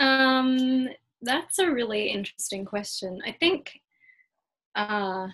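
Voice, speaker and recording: A woman with an Australian accent, high-pitched and lively in intonation, at a very slow pace with long, frequent pauses. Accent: Australian, heard as English by Americans. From Australia, Sydney. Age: 30s. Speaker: poet and creative writing lecturer. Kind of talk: casual podcast interview.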